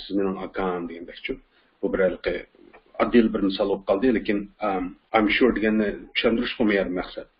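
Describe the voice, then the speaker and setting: Speaking in a Xinjiang accent, a man keeps a moderate pace. His fairly low voice holds a monotone, flat intonation. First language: Uyghur (speaking Turkish). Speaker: English teacher. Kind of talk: lecture.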